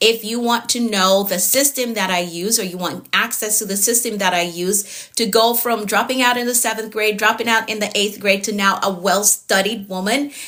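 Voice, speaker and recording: A woman with a Jamaican accent speaks at a moderate pace with hardly any pauses. Her fairly high voice keeps fairly even intonation over noticeable background noise. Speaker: productivity coach. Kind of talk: live-stream coaching session. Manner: frequent filler words.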